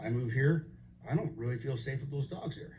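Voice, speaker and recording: Here a man speaks at a fairly high pitch and a fairly quick pace. His tone is dark and mellow, somewhat breathy, with ordinary pitch variation. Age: 60s. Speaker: resident giving public comment. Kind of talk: public hearing testimony. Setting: public meeting.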